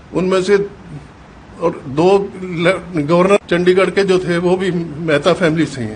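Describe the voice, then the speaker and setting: A man speaks at a high pitch with fairly even intonation. Noticeable background noise is present. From Punjab, Pakistan. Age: 80s+. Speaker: partition survivor. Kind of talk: testimony. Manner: halting.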